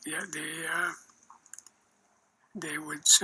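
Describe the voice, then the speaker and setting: Noticeable background noise runs behind a man's speech. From northern Alberta, Canada. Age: 80s+. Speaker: war veteran, former rear air gunner. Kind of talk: interview answer.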